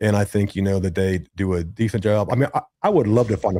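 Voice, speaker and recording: A man with an American accent talks at a fairly quick pace in a fairly low voice with a dark, mellow tone. The recording is very clean, the background silent. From Ohio, Cincinnati area. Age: 60s. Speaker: content creator and streamer. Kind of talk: casual chat. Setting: live podcast. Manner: animated.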